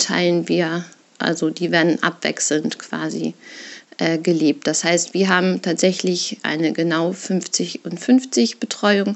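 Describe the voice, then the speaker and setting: This woman speaks in a fairly low pitch with vocal fry. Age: 30s. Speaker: parent sharing separation experience. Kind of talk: personal monologue, recorded testimony. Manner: hesitant, many fillers.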